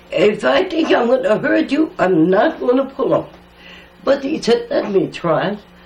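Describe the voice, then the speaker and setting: A woman's pitch swings very widely as she talks at a moderate pace, with noticeable background noise present. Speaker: elder storyteller. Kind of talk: oral history interview. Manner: halting.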